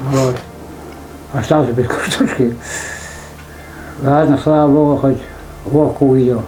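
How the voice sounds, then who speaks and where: With long, frequent pauses, a man speaks in a flat monotone at a fairly high pitch and very even loudness, with audible room echo and noticeable background noise. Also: fairly slow pace. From Sverdlovsk region, Russia (Muratkovo). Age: 60s. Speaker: retired villager, former logger. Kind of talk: casual interview.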